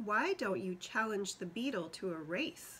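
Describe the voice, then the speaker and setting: Using a put-on character voice, a woman speaks at a moderate pace with a medium pitch. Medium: read story.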